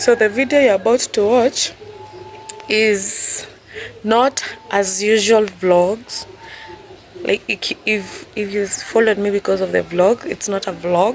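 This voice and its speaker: A woman speaks very slowly at a medium pitch, with ordinary pitch variation. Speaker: surveyor and vlogger. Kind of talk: tutorial; casual vlog intro. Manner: casual, slightly halting.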